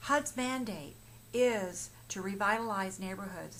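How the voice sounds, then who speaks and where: The voice has ordinary pitch variation, and room echo is audible. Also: woman. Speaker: mortgage professional. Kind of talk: informational explainer. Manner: halting, many fillers and restarts.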